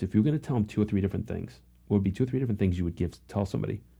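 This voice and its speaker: Somewhat breathy, the voice carries a dark, mellow tone and ordinary pitch variation. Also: man. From England. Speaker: podcast host. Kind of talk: casual interview.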